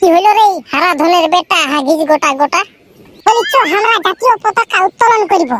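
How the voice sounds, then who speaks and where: This is a cartoonish character voice, squeaky and extremely high in pitch. It moves at a moderate pace. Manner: loud, rough, rustic.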